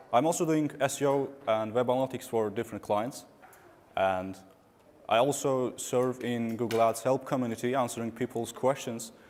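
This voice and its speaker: This man has an Azerbaijani accent. His pitch is medium and his intonation fairly even. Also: moderate pace. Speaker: digital marketing consultant. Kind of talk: conference talk.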